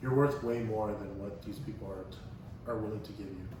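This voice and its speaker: The man talks at medium pitch. There is noticeable background noise and audible room echo. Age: 20s. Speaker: podcast guest sharing recovery story. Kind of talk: casual interview chat. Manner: halting, many fillers and restarts.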